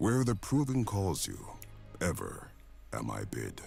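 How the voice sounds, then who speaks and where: A man puts on a character voice and talks at a fairly slow pace. Background noise is clearly audible. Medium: video game. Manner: solemn, archaic phrasing.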